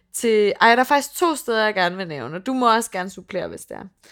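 A woman with an ordinary speaking voice is heard on a very clean recording with a silent background. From Funen, Denmark. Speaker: podcast co-host. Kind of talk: casual chat. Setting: on location in London.

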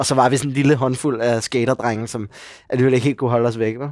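On this very clean recording the background is silent, and the sound is dry and close with no echo. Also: man. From Denmark, Copenhagen area (Gladsaxe). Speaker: actor. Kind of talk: casual chat. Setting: pub, morning.

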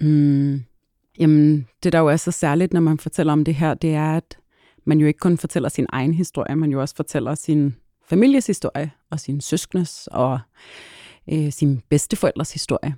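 Pitched very deep and low, a woman's voice carries a dark, mellow tone. She keeps a moderate pace and fairly even intonation on a very clean recording with a silent background. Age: 30s. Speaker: lawyer and refugee advocate. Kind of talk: interview. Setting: studio.

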